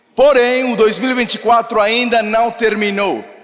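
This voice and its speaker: There is noticeable background noise. A man speaks at a moderate pace with fairly even intonation. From Mexico. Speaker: pastor. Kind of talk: sermon. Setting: church service with congregation.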